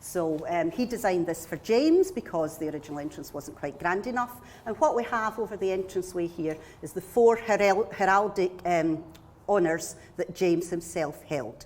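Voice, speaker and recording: A woman with a Scottish accent speaks at a moderate pace and medium pitch, her intonation lively. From Scotland, Glasgow. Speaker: local tour guide. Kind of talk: guided tour conversation.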